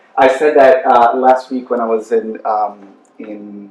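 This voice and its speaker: A man talks over noticeable background noise. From Brazil. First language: Portuguese. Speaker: human rights specialist. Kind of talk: panel presentation. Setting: university panel with audience. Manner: halting.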